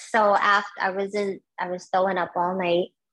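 The voice carries a New York accent. It moves at a fairly slow pace. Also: woman. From Brooklyn, New York (born in Guyana). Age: 50s. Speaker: marathon runner. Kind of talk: interview.

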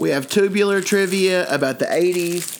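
A high-pitched man in an animated tone at a fairly slow pace, over noticeable background noise. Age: 40s. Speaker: comedy podcast host. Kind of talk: comedy sketch chat. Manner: animated, joking.

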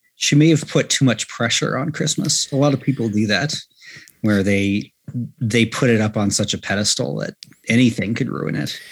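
Speaking at a moderate pace, a man uses a medium pitch with lively intonation. Vocal fry runs through his voice. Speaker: podcast guest. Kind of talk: casual chat. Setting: video call.

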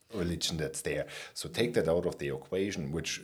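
A man speaks with a non-native accent. His pitch is very deep and low, with ordinary variation. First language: not English. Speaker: podcast host. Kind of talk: interview conversation.

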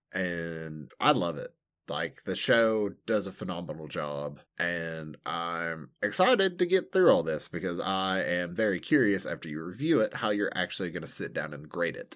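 On a very clean recording with a silent background, a man with an American accent speaks at a moderate pace in a very deep, low pitch, with ordinary pitch variation and big swings in loudness. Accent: regional American. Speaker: anime podcast co-host. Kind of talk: casual chat.

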